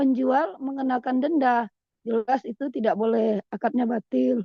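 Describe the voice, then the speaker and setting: In a dry, close recording with no echo, a woman speaks at a fairly slow pace in a high pitch. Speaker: Islamic study panelist. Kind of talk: religious Q&A discussion.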